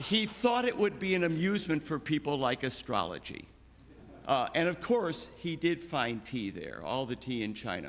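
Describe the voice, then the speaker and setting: This man's voice sits fairly high with vocal fry, moving at a moderate pace while his pitch swings very widely. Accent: American. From Chicago. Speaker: eulogist, friend of the deceased. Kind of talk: eulogy. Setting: church memorial service.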